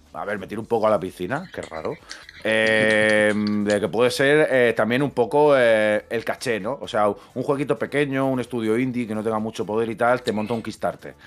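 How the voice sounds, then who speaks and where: Over faint music in the background, a man speaks at a medium pitch and moderate pace with ordinary pitch variation. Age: 30s. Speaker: video game podcast co-host. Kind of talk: casual chat. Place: home room. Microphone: studio mic.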